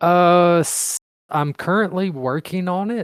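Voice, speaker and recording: At a very slow pace, a man with a high pitch and ordinary pitch variation is heard in a dry, close sound with no echo. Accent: Mississippi. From Mississippi, US. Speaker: fiction writer. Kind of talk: interview Q&A.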